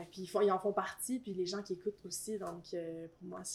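A woman's medium pitch and fairly even intonation come at a fairly slow pace. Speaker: rapper and singer. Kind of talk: casual interview chat.

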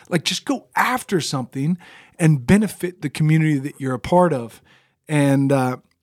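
An ordinary speaking voice at a moderate pace with ordinary pitch variation, recorded with a dry, close sound with no echo. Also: man. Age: 30s. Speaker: podcast co-host, ministry. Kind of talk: casual chat, faith discussion.

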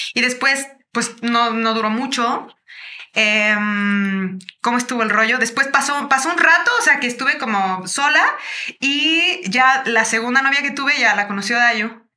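Her high, bright, sharp voice moves at a fairly slow pace with ordinary pitch variation. This woman is recorded with audible room echo. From Mexico, Chiapas. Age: 30s. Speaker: singer-songwriter. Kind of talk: casual interview chat.

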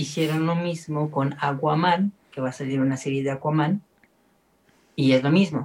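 The man's voice is somewhat breathy, and his intonation stays fairly even. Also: fairly high pitch for a man, moderate pace. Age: 30s. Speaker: film podcast host. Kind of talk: casual chat.

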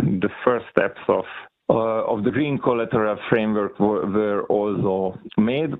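A man with a medium-pitched voice speaks at a very slow pace, his intonation fairly even and his loudness very even. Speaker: central bank official. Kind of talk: conference keynote presentation. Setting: online conference.

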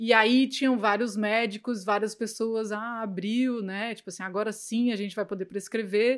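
A woman with a fairly high pitch speaks at a moderate pace in a monotone, flat intonation, her loudness swinging widely, with hardly any pauses, on a very clean recording against a silent background. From Brazil, Goiânia. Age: 30s. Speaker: cannabis educator. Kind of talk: casual interview chat.

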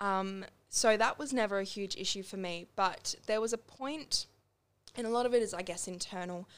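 A medium-pitched woman's voice in an Australian accent, with ordinary pitch variation at a moderate pace. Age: young. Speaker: singer-songwriter. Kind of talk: casual interview.

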